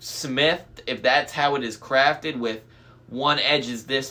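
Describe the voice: Someone does plain reading aloud, keeping the intonation fairly even.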